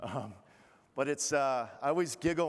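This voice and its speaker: Here a man talks in a Boston accent. His pace is fairly quick and his intonation fairly even. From Massachusetts, Boston area. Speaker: keynote speaker, retired Navy officer. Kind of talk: keynote speech. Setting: stage with audience.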